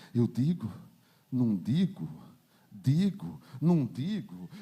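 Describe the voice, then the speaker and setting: A man puts on a character voice at a medium pitch, speaking very slowly in a sing-song manner with very wide pitch swings. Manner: sing-song, drawn-out words.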